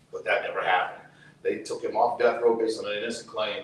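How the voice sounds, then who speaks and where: Over noticeable background noise, a man talks very fast with audible room echo. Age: 60s. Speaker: activist, brother of a prisoner. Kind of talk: testimony. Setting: outdoors.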